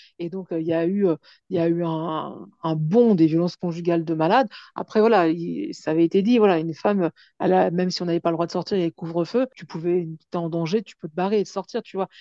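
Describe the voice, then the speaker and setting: This woman speaks at a fairly quick pace. Her pitch is fairly low and her intonation fairly even. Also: big swings in loudness. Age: 40s. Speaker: writer and speaker, abuse survivor. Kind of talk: testimony. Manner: halting.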